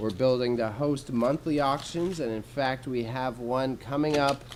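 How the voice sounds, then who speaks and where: In a room with audible echo, a man speaks at a fairly slow pace with an animated tone, a medium pitch and ordinary pitch variation. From Alberta, Canada. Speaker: streamer and small business owner. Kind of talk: casual live stream chat. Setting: warehouse space streaming. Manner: casual, animated.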